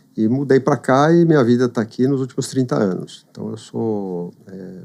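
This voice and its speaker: This man's medium-pitched voice has a dark, mellow tone and lively intonation. He talks at a moderate pace with big swings in loudness. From São Paulo, Brazil. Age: 60s. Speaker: businessman. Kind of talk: casual interview chat. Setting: studio. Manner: halting.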